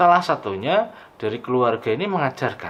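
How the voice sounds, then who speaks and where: A man speaks at a medium pitch with very wide pitch swings. His pace is fairly quick. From Banjarnegara, Central Java, Indonesia. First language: Javanese (Banyumasan dialect) (speaking Indonesian). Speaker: lecturer. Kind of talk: lecture.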